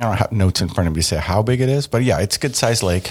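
Very rapid delivery from a male speaker, somewhat breathy in tone. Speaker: podcast host. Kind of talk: casual chat. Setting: at a table, recorded together.

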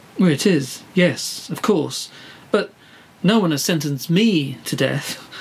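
A man's fairly high voice, very slow and lively in intonation, with long, frequent pauses and noticeable background noise. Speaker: podcast host. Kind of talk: scripted comedy interview. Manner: flustered, hesitant, polite.

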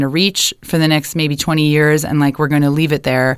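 With a Canadian accent, a woman talks at a fairly quick pace in a very deep, low pitch and a monotone, flat intonation. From Ontario, Canada (Kitchener). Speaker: transportation columnist. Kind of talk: casual interview. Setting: studio. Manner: halting, many fillers and restarts.

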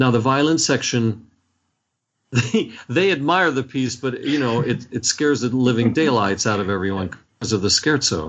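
With an American accent, an ordinary speaking voice uses lively intonation and keeps to a moderate pace. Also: man, medium pitch for a man. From US, Washington D.C. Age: 60s. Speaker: orchestra conductor. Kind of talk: interview.

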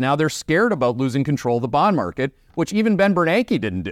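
A man with a Canadian accent and very wide pitch swings, in a dry, close sound with no echo. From Canada. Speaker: macro investing analyst and show host. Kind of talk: market commentary. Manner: blunt, animated.

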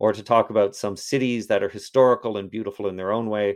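A man with a Canadian accent talks at a fairly quick pace. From Toronto, Canada. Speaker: history professor. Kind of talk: casual interview. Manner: halting, many repetitions; animated.

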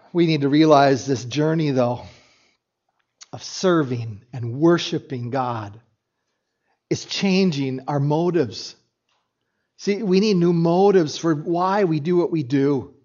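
A fairly high-pitched man at a fairly slow pace, with long, frequent pauses and audible room echo. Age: 60s. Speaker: pastor. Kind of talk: sermon. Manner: halting.

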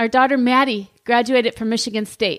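Here a woman sounds loud and high-pitched. Her tone is upbeat. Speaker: leadership podcast host. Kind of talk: motivational talk.

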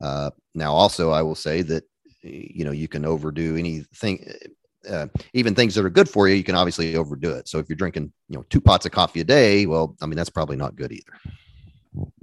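A man with an American accent and a very deep, low pitch, ordinary pitch variation, a fairly quick pace, big swings in loudness, and a dry, close sound with no echo against a quiet background. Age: 40s. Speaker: family doctor, podcaster. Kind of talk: casual interview.

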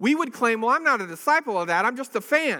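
A man's raised, projected voice with very wide pitch swings, a bright, sharp tone and a fairly quick pace. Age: 40s. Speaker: pastor. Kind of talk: sermon. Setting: church. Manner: halting.

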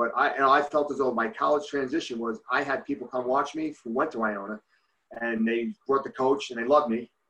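Talking at a fairly quick pace, a man with a New Jersey accent has a bright, sharp tone. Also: medium pitch for a man, ordinary pitch variation. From New Jersey, Bergen County. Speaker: youth hockey coach. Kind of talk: casual interview. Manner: halting.

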